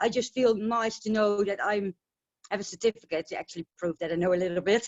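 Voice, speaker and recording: A woman with a Dutch accent, medium pitch, fairly even intonation and a very fast pace. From Netherlands. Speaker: essential oil distributor. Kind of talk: casual interview on webinar. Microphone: connection breaking up.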